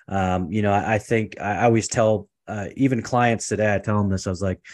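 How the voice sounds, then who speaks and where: A man with a West Coast accent talks at a very fast pace. His voice is fairly low, his intonation fairly even. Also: very clean recording, silent background. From US Pacific Northwest, Portland, Oregon. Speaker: entrepreneur, consultant. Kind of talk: interview, personal story.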